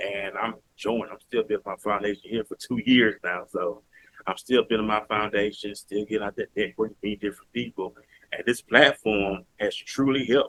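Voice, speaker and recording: A man with a Southern US accent, fairly even intonation and a moderate pace. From US South, Mobile, Alabama. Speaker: podcaster. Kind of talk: interview.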